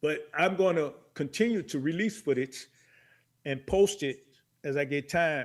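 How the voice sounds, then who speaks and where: A man speaks in an unremarkable speaking voice with an American accent, his pitch fairly high and its variation ordinary, against a quiet background. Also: fairly slow pace. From Chicago. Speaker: dance videographer. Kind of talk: interview.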